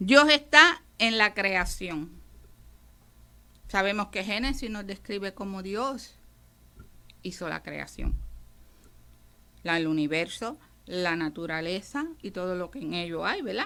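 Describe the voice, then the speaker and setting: This woman's voice is bright and sharp, at a medium pitch, with lively intonation and big swings in loudness. She talks very slowly with long, frequent pauses, on a very clean recording against a silent background. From Puerto Rico. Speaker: radio preacher. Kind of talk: radio sermon.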